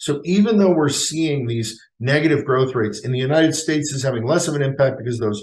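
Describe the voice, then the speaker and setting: Somewhat breathy and fairly high-pitched, a man talks at a fairly quick pace with lively intonation. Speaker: futurist, economist and keynote speaker. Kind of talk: keynote speech on economics.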